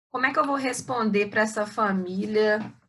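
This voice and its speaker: Audible room echo is present in this recording. A woman talks at a fairly slow pace. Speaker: surgery professor. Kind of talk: lecture. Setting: video call.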